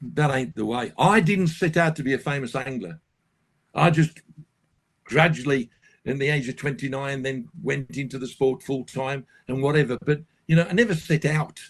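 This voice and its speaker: At a moderate pace, a man with a somewhat breathy, fairly high voice talks with ordinary pitch movement. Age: 70s. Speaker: carp angler and fishing guide. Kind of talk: casual interview chat. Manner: animated.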